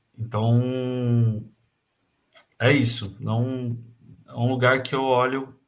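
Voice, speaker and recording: Speaking very slowly with long, frequent pauses, a man holds a medium pitch in a monotone, flat intonation while the room echo is audible. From Brazil, Campinas (São Paulo state). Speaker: handball coach. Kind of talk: casual interview.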